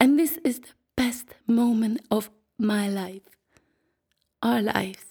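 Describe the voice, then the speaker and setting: A woman with a dark, mellow, somewhat breathy tone speaks very slowly at a fairly high pitch, with ordinary pitch variation. Her loudness swings widely, and she leaves long, frequent pauses. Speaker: podcaster. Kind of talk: personal narrative, poetic monologue.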